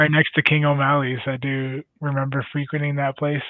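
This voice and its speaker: With a Canadian accent, a man speaks at a fairly high pitch. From Canada. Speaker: ice hockey player. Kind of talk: casual chat.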